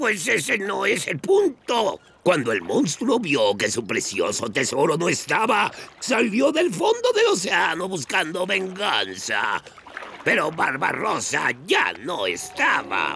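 A man does a put-on character voice. He speaks at a fairly slow pace. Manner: gruff, theatrical.

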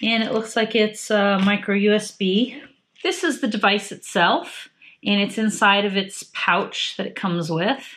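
Ordinary pitch variation from a woman speaking at a fairly slow pace. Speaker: product reviewer. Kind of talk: tutorial. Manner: halting. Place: home room.

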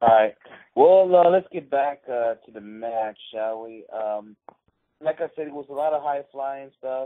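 A man with a normal speaking voice talks at a fairly slow pace and a fairly high pitch, with ordinary pitch variation and big swings in loudness. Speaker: wrestling podcast host. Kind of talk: casual chat.

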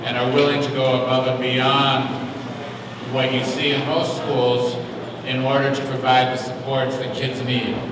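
In a room with strong echo and noticeable background noise, a man speaks at a fairly slow pace. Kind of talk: public address at a hearing. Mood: earnest, encouraging. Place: hall.

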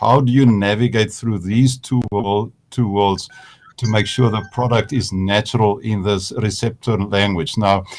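With a normal speaking voice, a man talks at a fairly slow pace using ordinary pitch variation. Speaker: seminary moderator. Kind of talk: panel discussion. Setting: video call.

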